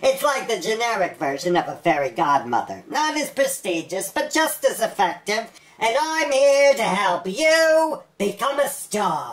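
A cartoonish character voice, female-sounding and fairly high in pitch, with very wide pitch swings, a moderate pace and hardly any pauses. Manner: smooth, schmoozy.

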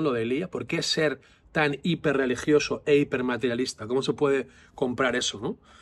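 This man talks at a fairly quick pace. His pitch is fairly high. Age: 40s. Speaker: psychologist and vlogger; vlogger. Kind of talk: casual vlog monologue. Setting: outdoors. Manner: animated. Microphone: phone near.

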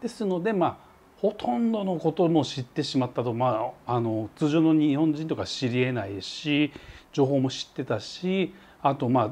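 A man's fairly high voice at a moderate pace. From Japan. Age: 40s. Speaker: travel vlogger. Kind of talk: vlog monologue. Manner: casual, filler-heavy. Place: home room. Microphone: lapel.

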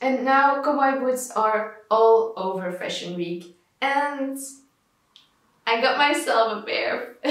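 Audible room echo surrounds very slow speech with ordinary pitch variation and long, frequent pauses, against a quiet background. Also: woman, high pitch for a woman. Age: 20s. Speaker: fashion vlogger. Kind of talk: scripted narration.

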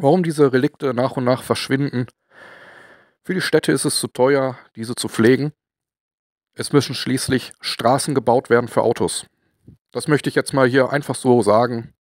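The man speaks at a moderate pace and medium pitch with fairly even intonation and long, frequent pauses. The recording is very clean with a silent background, dry and close with no echo. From Ruhr area, Germany. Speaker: model-building and industrial-heritage video maker. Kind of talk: casual talk to camera.

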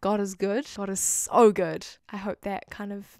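Recorded with a dry sound with no echo and a quiet background, a woman speaks at a medium pitch with a New Zealand accent. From New Zealand, Auckland. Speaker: YouTuber. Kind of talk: testimony. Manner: animated. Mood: warm, heartfelt. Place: home room. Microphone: handheld.

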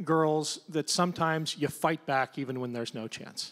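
The speaker uses a plain, everyday voice with fairly even intonation. The background is quiet. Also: man. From Ohio. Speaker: congressional candidate, Navy veteran; panelist. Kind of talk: panel discussion. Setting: stage with audience. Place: stage. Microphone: handheld.

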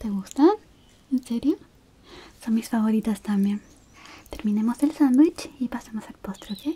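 The pace is fairly slow, with ordinary pitch variation. Loudness swings widely throughout. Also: woman. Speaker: roleplay host. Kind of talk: soft spoken roleplay chat to viewer. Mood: warm, caring, gentle.

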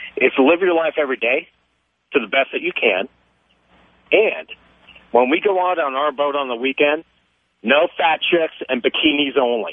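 Pausing long and often, a man with an American accent speaks at a moderate pace in a fairly high voice with ordinary pitch variation. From US West. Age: 40s. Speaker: caller. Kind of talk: call-in radio chat. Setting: phone call. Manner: animated.

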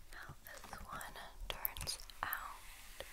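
The speaker is a woman. She is whispering. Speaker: beauty reviewer. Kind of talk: soft-spoken product review, reading labels.

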